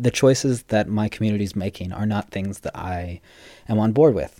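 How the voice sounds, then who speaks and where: Speaking at a moderate pace, a man has a dark, mellow tone and ordinary pitch variation. The recording is very clean and dry, close with no echo and a silent background. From US West Coast (Los Angeles). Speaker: podcast co-host. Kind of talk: casual chat.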